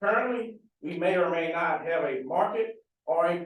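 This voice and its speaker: Loud and at a fairly slow pace, a man talks in a high voice with ordinary pitch variation. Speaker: government farm agency official. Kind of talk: panel Q&A answer. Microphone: speaking without a mic.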